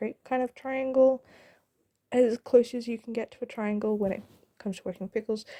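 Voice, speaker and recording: A woman speaks with a dark, mellow tone in a dry, close recording without any echo. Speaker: gaming YouTuber. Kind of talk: voiceover commentary on a time-lapse. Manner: fast; hesitant, many fillers.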